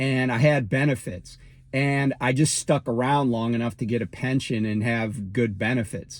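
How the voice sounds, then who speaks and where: Speaking with an American accent, a man keeps a medium pitch, ordinary pitch variation and a moderate pace. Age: 60s. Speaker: trucking YouTuber. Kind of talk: casual vlog monologue. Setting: in a car. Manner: halting, many fillers and restarts.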